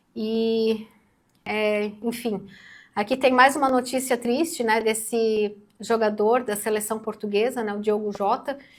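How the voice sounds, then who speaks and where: On a very clean recording with a silent background, a woman speaks at a fairly slow pace in a fairly high voice with fairly even intonation. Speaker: news commentator co-host. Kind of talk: news discussion on a channel. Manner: speaking quietly. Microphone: too quiet.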